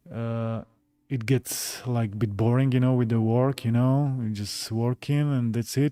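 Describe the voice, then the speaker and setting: A man with a Slovak accent speaks at a fairly slow pace in a fairly even intonation while music plays in the background. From Slovakia, Bratislava. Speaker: gaming YouTuber. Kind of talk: live stream chat. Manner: halting, many fillers.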